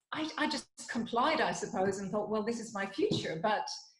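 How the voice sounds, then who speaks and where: A woman speaks with lively intonation at a fairly high pitch. Audible room echo follows her words. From Ireland, Dublin. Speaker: psychologist and wellness consultant. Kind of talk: interview conversation.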